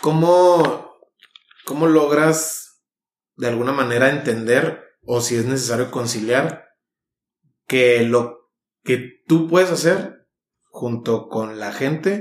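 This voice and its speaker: A man at a medium pitch, very slow, with long, frequent pauses. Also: ordinary pitch variation. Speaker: podcast host. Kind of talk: casual interview.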